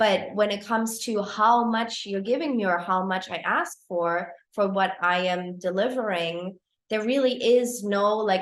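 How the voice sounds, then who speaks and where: A woman with a German accent at a moderate pace. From Germany. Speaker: photography business coach. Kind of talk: live-streamed coaching talk. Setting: livestream. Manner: casual, with many fillers.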